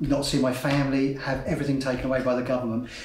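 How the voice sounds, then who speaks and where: A man with a fairly high pitch speaks in a flat monotone, with noticeable background noise and audible room echo. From south-east England, Kent. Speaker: climate activist. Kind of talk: interview testimony.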